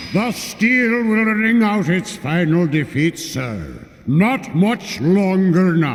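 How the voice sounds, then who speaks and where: A man's put-on character voice, high-pitched and very slow, with lively intonation, hardly any pauses and clear background noise. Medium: video game. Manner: measured, respectful.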